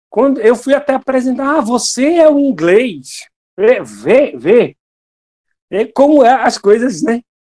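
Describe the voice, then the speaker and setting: Extremely high in pitch, a man's voice has a dark, mellow tone and ordinary pitch variation. He speaks at a very slow pace. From England. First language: English (speaking Portuguese). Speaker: lay preacher and English teacher. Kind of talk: devotional talk.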